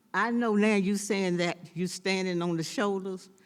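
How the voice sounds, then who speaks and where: In a Southern accent, a woman speaks at a medium pitch. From US South, North Carolina. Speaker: former city council member. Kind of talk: speech at a celebration. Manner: drops word endings.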